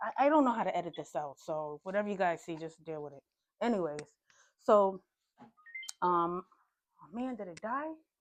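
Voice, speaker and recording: With a fairly low pitch and lively intonation, a woman speaks with long, frequent pauses and big swings in loudness. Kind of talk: casual interview host talk.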